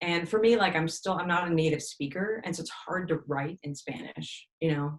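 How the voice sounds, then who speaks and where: A woman with a very deep, low pitch speaks at a fairly quick pace with ordinary pitch variation. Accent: American. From Texas, Austin. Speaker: musician. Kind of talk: interview.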